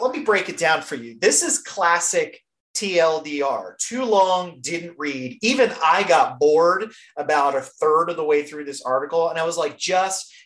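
A woman uses a normal speaking voice, fairly low in pitch and at a fairly slow pace. Her intonation is lively, and her loudness swings a lot. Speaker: podcast host. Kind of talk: casual chat.

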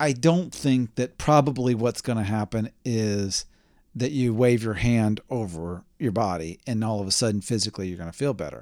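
Medium pitch and a moderate pace from a man with a normal speaking voice. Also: ordinary pitch variation. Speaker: podcast host. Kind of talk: casual chat.

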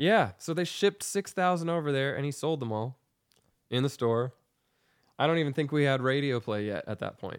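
On a very clean recording with a silent background, a man talks fairly quickly in a normal speaking voice at a fairly high pitch. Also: lively intonation. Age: 30s. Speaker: musician. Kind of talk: casual chat. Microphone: new microphone.

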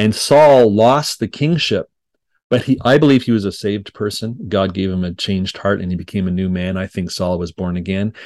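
A man's fairly low voice in a Montreal accent, with ordinary pitch variation and a moderate pace, in a dry, close sound with no echo. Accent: Canadian English (Montreal anglophone). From Quebec, Montreal (English-speaking family). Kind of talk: podcast interview.

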